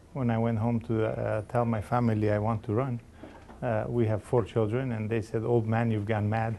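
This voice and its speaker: A man speaks at a moderate pace and a medium pitch. His tone is dark and mellow, his intonation monotone and flat. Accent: Macedonian. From Macedonia, moved to Canada at 13. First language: Macedonian. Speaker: election candidate. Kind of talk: interview.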